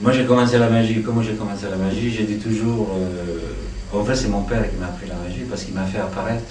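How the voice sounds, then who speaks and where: A man with an Italian accent, fairly low in pitch and fairly even in intonation, amid noticeable background noise and audible room echo. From Italy. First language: Italian (speaking French). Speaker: magician and actor. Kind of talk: interview. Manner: hesitant.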